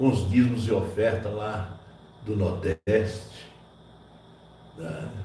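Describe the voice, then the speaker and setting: A fairly low-pitched man, somewhat breathy with a dark, mellow tone and fairly even intonation, at a very slow pace with long, frequent pauses and audible room echo. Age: 60s. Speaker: pastor. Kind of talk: sermon. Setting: church.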